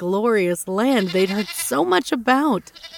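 Plain, out-loud reading.

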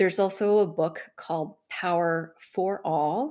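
A woman talks with an American accent in an ordinary speaking voice, fairly low in pitch and fairly even in intonation. The recording is very clean, with a silent background. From US, Taiwanese American family. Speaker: startup founder and coach. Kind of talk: interview conversation.

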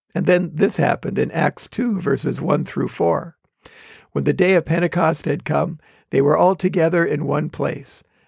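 Speaking at a moderate pace, a man with an American accent and a fairly high pitch uses fairly even intonation and vocal fry. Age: 70s. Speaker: pastor and podcast host. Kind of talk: sermon-like devotional talk, with scripture reading.

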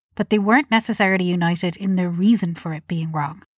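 A woman's somewhat breathy, medium-pitched voice at a fairly quick pace, in a dry, close sound with no echo. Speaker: podcast host. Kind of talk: scripted narration.

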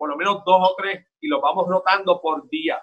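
A man with a high pitch speaks in a Puerto Rican accent. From Puerto Rico. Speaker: town mayor. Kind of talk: interview.

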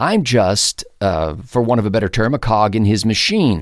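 A man with an American accent and an unremarkable speaking voice, medium in pitch, with ordinary pitch variation, at a moderate pace, on a very clean recording with a silent background. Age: 50s. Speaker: podcast host and talk show commentator. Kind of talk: solo monologue podcast.

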